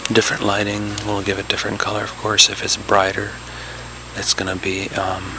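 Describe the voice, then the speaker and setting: A man whispers at a fairly quick pace, with noticeable background noise. The sound is dry, with no echo. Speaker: video game console modder. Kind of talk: ASMR product showcase. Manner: whispering. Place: home room. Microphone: phone near.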